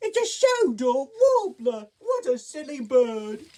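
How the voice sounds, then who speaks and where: Pitched high, this is a put-on character voice. It moves at a fairly slow pace. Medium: read story. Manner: playful, upbeat.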